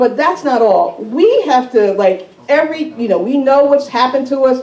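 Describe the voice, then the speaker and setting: Through noticeable background noise, a woman with an American accent speaks at a moderate pace with a high pitch, lively intonation, and an animated tone. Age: 60s. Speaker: resident speaking at town meeting, former school board member. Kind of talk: public comment at town meeting.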